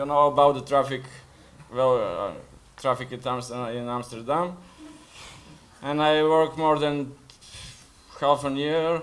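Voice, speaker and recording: Fairly slow, flat, monotone delivery in a Bulgarian accent, with long, frequent pauses. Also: man, fairly high pitch for a man. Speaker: food delivery rider. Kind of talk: panel discussion. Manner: halting.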